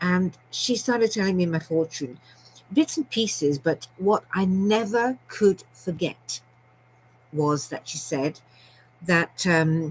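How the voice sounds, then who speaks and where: Here is a woman with a British accent at medium pitch, speaking very slowly. Her voice is somewhat breathy, with lively intonation. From Scotland and London. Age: 70s. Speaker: storyteller vlogger. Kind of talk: personal storytelling monologue. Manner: chatty, rambling with many fillers.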